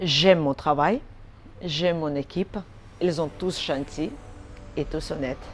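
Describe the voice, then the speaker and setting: A woman's lively intonation unfolds at a fairly slow pace. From Armenia. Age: 40s. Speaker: order picker. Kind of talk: corporate interview testimonial.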